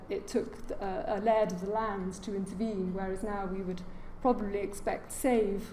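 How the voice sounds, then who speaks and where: A woman's medium-pitched voice with a British accent at a moderate pace, with audible room echo and noticeable background noise. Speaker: heritage lecturer. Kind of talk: lecture. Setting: lecture hall with audience.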